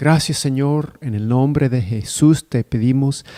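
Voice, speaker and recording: This man's voice sits fairly high in pitch and carries a non-native accent. His tone is dark and mellow. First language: not Spanish (speaking Spanish). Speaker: preacher. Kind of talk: sermon. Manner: halting.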